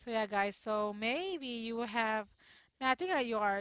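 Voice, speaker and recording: A woman at a fairly slow pace with ordinary pitch variation, in a quiet background and a dry sound with no echo. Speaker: gamer vlogger. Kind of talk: casual gaming commentary. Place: home room. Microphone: headset.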